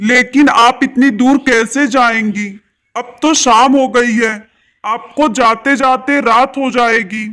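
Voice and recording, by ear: A man does a put-on character voice at an extremely high pitch, with a bright, sharp tone. His delivery is slow and fairly even in intonation, with few pauses.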